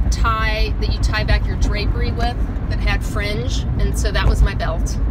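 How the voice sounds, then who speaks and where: A woman's voice under loud background noise. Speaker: vlogger. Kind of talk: casual vlog chat, storytelling. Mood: amused, nostalgic. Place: car. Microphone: phone near.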